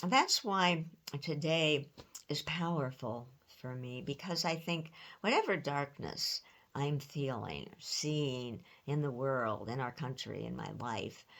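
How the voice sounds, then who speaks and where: A woman with a very deep, low pitch and an American accent speaks at a very slow pace with ordinary pitch variation. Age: 70s. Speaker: retired pastor. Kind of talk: sermon.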